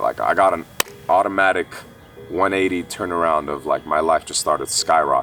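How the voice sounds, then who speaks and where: Music plays in the background as a man with an Armenian accent speaks at a fairly quick pace. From Kuwait, Armenian family, moved to US at 8-9. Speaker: esports player. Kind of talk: personal testimony interview. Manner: casual, many fillers.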